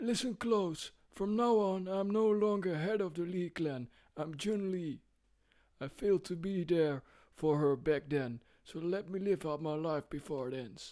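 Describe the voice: Moderate tempo and a middle pitch in a put-on character voice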